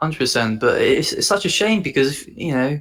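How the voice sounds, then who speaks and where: A man is speaking. He has an English accent. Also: very clean recording, silent background. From England. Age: 20s. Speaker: copywriter. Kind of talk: casual chat. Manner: halting.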